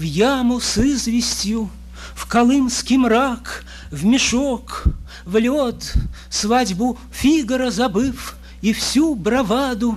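A man at a very slow pace, with noticeable background noise. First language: Russian. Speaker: poet. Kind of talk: poetry reading in Russian. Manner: nervous.

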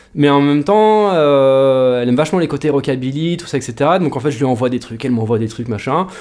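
This man has an unremarkable speaking voice, fairly high in pitch with ordinary variation. He talks at a fairly quick pace with hardly any pauses. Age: 30s. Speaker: rockabilly guitarist. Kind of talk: casual interview chat. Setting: studio.

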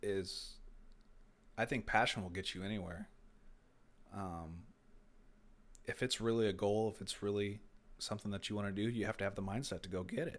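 A soft-spoken man with an American accent, fairly low in pitch, fairly quick, with fairly even intonation, long, frequent pauses, and a very clean recording with a silent background. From US Midwest, Indiana. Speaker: motorsport team manager. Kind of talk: casual interview chat.

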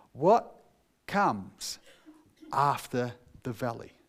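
In a New Zealand accent, the voice moves through very wide pitch swings. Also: man. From New Zealand, North Otago. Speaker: pastor. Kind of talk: sermon.

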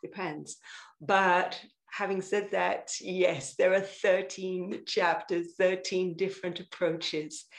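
Woman's medium-pitched voice at a very slow pace. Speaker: sound therapist and singer-songwriter. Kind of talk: casual interview. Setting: video call. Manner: animated.

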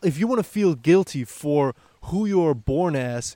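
A man with a German accent, fairly high in pitch and dark, mellow in tone, with lively intonation and a dry, close sound with no echo. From Germany. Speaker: podcast host. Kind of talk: casual interview.

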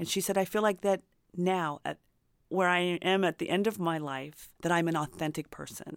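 Here is a woman with an American accent and a plain, everyday voice. Her pitch is fairly low, her intonation fairly even, and her pace moderate. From US Midwest, rural Indiana. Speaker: memoir author. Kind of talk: interview.

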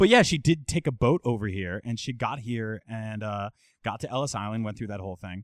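In an ordinary speaking voice, a man with an American accent talks at a fairly quick pace with big swings in loudness, captured in a very clean recording with a silent background and a dry, close sound free of echo. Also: medium pitch for a man, ordinary pitch variation. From Jersey City, New Jersey. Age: 30s. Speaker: video game journalist. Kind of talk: casual chat.

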